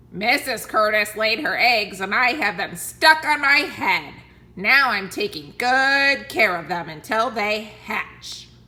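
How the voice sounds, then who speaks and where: A put-on character voice, female-sounding, raised and projected. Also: fairly high pitch for a woman, fairly slow pace. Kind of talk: bedtime story. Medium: read story. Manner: cheerful, proud.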